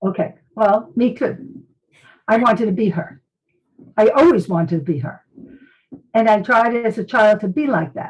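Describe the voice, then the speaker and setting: At a moderate pace, a woman with a fairly high pitch and a somewhat breathy voice uses lively intonation, broken by long, frequent pauses. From US Northeast, Brooklyn, New York. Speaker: medical intuitive and psychic detective, former nurse. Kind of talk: interview testimony.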